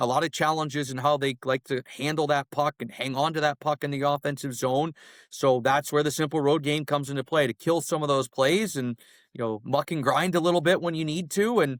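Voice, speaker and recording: In a very clean recording with a silent background, a man with a plain, everyday voice speaks at a fairly high pitch with fairly even intonation. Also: fairly quick pace, dry, close sound with no echo. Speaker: radio play-by-play announcer, hockey guest. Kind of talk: podcast interview answer, hockey analysis.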